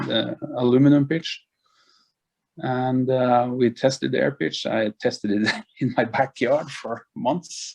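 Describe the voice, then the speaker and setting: Speaking at a fairly slow pace, a man with a Norwegian accent holds a medium pitch with ordinary variation. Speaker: football tournament organizer. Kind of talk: interview.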